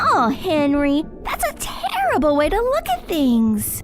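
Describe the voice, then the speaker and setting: A put-on character voice at a high pitch and a fairly slow pace, with clear background noise. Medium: audio drama. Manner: earnest, cheerful.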